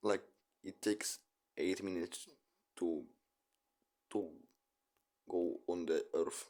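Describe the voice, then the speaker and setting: Here a man speaks with a non-native accent. His pace is very slow. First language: not English. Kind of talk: casual chat, video reaction. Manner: halting.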